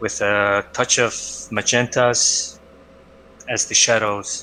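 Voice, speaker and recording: The speaker has a non-native accent and fairly even intonation. Light background noise can be heard. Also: man. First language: not English. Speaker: art critique co-host. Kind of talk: live-stream art critique. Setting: live stream. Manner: hesitant, many filler uhs. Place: home room. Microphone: headset.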